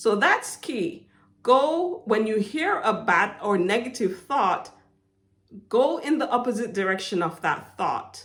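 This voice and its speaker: A woman speaks very slowly with a Jamaican accent. Her fairly high voice makes very wide pitch swings. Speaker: motivational faith vlogger. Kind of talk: inspirational monologue. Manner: hesitant, with fillers.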